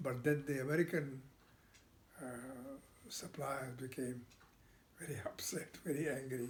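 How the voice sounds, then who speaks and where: Somewhat breathy, this voice belongs to a man. His pitch is fairly high. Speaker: retired export trade executive. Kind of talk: casual family interview answer.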